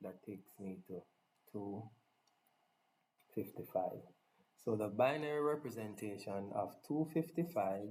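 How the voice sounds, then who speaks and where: Lively intonation, long and frequent pauses, and big swings in loudness in a dark, mellow tone, with a strong non-native accent at a fairly slow pace. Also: man, fairly low pitch for a man. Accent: thick non-native accent (self-described). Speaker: tech tutorial presenter. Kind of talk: tutorial. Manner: casual, enthusiastic.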